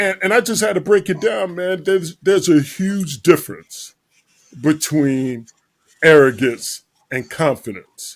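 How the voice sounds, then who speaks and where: A man's unremarkable speaking voice, fairly high in pitch, with lively intonation at a fairly slow pace. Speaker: podcast host. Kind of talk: casual podcast talk.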